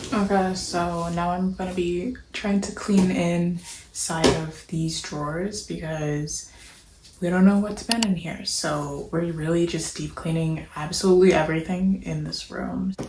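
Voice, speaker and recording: A woman's fairly slow speech with fairly even intonation, audible room echo, and noticeable background noise. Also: fairly low pitch for a woman. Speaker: vlogger. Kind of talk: casual vlog narration. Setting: apartment room.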